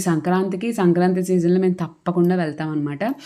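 This woman has a fairly low pitch and a dark, mellow tone, and her intonation stays fairly even. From Andhra Pradesh, West Godavari (Narsapuram). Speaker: vlogger. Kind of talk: travel vlog narration. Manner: halting.

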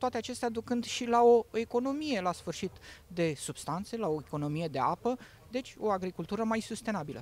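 A man talks at a fairly quick pace in a dry sound with no echo. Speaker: digital agriculture product specialist. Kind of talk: promotional interview. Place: open country. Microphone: handheld.

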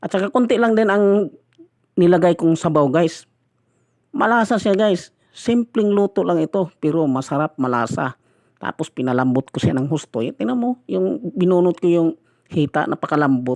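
Heard dry and close with no echo, a man with a high pitch speaks at a moderate pace with very wide pitch swings. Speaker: food vlogger. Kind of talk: mukbang voice-over. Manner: halting.

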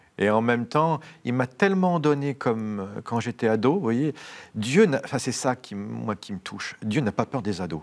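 Intonation is lively, and the pace holds moderate. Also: man. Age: 40s. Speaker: priest. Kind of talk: interview. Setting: studio. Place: studio. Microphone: lapel.

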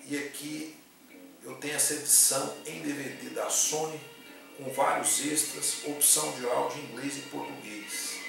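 The voice carries a strong room echo, with clear music in the background. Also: man. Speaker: film reviewer. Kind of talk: casual film review. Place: home room. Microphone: camera far.

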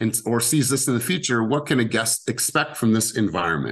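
Against a quiet background, a man speaks at a fairly quick pace with ordinary pitch variation. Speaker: sales coach for real estate agents. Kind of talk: team coaching session. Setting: video call. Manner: animated. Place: home room. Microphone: studio mic.

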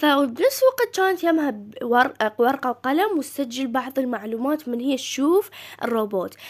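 In an Iraqi accent, a woman speaks at a moderate pace with hardly any pauses. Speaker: gaming YouTuber. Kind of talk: casual game news commentary. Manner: halting, frequent self-corrections.

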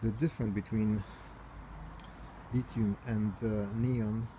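Over light background noise, a somewhat breathy man talks at a fairly slow pace in a flat monotone. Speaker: bike owner reviewing his bike. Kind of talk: casual product review. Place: garden. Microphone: phone near.

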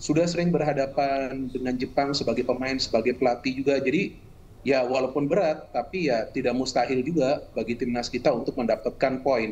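Using an ordinary speaking voice, a man talks at a medium pitch and fairly quick pace with fairly even intonation. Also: hardly any pauses. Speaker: football pundit. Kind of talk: news interview. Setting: video call. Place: home room. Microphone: video call.

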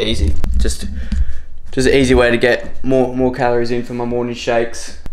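Moderate pace with light background noise. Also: man. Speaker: fitness vlogger. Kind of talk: casual vlog chat. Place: kitchen. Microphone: phone near.

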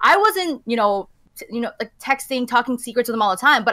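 A woman with a Canadian accent speaks at a fairly quick pace in a high pitch, her tone bright and sharp and her intonation lively. The sound is dry with no echo over a quiet background. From Canada. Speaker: esports journalist. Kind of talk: casual chat. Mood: opinionated, animated. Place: home room.

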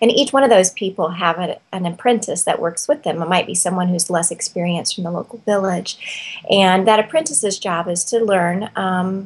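A woman at a moderate pace, ordinary pitch variation, hardly any pauses. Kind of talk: interview answer. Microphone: webcam.

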